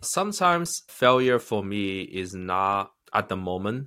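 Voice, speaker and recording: With a Chinese accent, a man speaks at a fairly low pitch in a bright, sharp tone, with lively intonation and hardly any pauses. The recording is very clean, with a silent background. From China.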